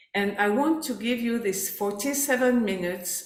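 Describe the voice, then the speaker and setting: A woman with a French accent, fairly high in pitch with ordinary pitch variation, at a fairly slow pace amid audible room echo. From France. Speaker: life coach. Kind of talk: workshop presentation. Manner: halting, with fillers.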